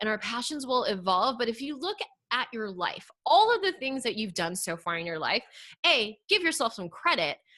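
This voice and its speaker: A woman's fairly high, bright and sharp voice, animated in tone, at a moderate pace with very wide pitch swings. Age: 40s. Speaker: online marketing coach. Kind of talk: podcast interview.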